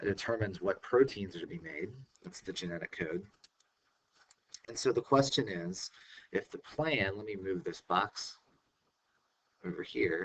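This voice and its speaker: This man's voice is fairly low and somewhat breathy, with lively intonation and big swings in loudness. He leaves long, frequent pauses. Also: moderate pace. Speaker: science teacher. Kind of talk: recorded lecture. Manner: hesitant, many fillers.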